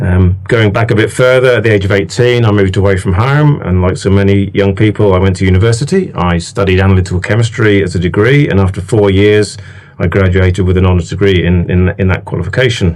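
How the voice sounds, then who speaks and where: Talking at a very fast pace with hardly any pauses, the speaker has a British accent, very even loudness and ordinary pitch variation. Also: man, fairly low pitch for a man. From England. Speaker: laboratory manager. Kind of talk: interview. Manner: hesitant, many fillers.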